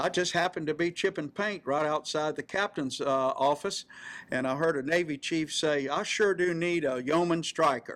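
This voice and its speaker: Speaking in a South Carolina accent, a man uses a fairly high pitch and fairly even intonation. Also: very clean recording, silent background. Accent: Southern US (South Carolina). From US South, rural South Carolina. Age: 70s. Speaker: navy veteran. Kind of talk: interview, personal reminiscence. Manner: hesitant, many fillers.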